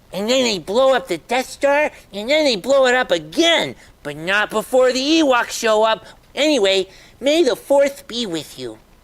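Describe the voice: This put-on character voice has a fairly high pitch and moves at a moderate pace.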